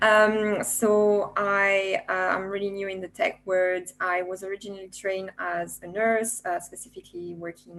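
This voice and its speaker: A woman with a French accent speaks at a moderate pace and a medium pitch. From France. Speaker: software developer, former nurse. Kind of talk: panel discussion. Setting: video webinar.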